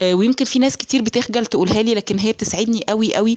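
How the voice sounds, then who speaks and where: With an Egyptian accent, a woman talks at a moderate pace, with ordinary pitch variation. The sound is dry and close with no echo, though background noise is noticeable. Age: 30s. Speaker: entrepreneur. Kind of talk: testimony.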